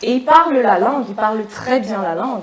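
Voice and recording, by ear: A woman's fairly high voice with lively intonation at a fairly quick pace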